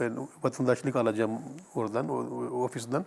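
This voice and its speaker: A man is speaking. His pace is moderate. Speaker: imam, Islamic teacher answering viewer questions. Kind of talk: religious Q&A answer. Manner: halting, filler-heavy, repeating words.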